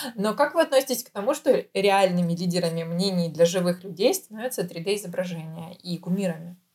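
A woman's somewhat breathy voice moves at a fairly quick pace with hardly any pauses and ordinary pitch variation. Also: medium pitch for a woman. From Ukraine. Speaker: podcast co-host. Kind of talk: casual chat.

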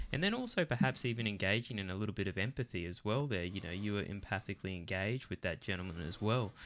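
In a very clean recording with a silent background, a man with an Australian accent speaks at a fairly low pitch. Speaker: podcast host. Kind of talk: interview discussion. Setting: studio.

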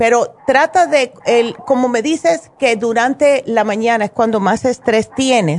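A woman with a fairly high pitch speaks in an animated tone. Her intonation is lively and her pace fairly slow. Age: 60s. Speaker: naturopath radio host. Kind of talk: call-in health advice show.

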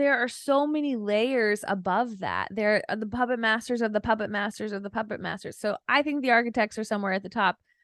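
Hardly pausing, a woman talks at a fairly quick pace with a fairly high pitch and ordinary pitch variation against a quiet background. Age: 30s. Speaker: lawyer and online personality. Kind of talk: casual chat. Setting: video call. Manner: more confident than before.

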